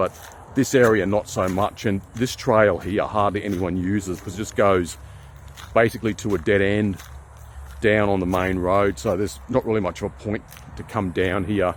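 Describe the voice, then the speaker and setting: Using a strong Queensland accent, a man speaks at a moderate pace with a fairly low pitch and ordinary pitch variation. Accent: strong Australian (Brisbane, Queensland). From Australia, Brisbane, Queensland. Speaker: nature vlogger. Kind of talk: casual vlog narration. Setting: outdoors, forest walk. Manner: relaxed.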